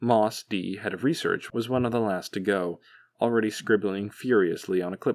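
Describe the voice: This clip is plain reading aloud, and its pitch shifts in an ordinary manner.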